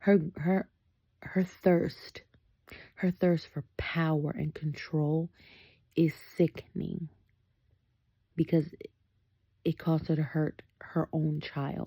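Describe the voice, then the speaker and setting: In a dry, close sound with no echo, a woman with a fairly low pitch and a dark, mellow tone speaks very slowly and somewhat breathily, with long, frequent pauses. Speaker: book vlogger. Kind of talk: casual reading vlog commentary. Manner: animated.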